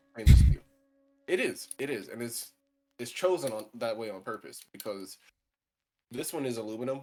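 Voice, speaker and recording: With music in the background, a man speaks at a moderate pace, his loudness swinging widely and his pitch varying in an ordinary way, broken by long, frequent pauses. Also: medium pitch for a man. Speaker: streamer and lightsaber hobbyist. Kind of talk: casual chat. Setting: live stream. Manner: animated.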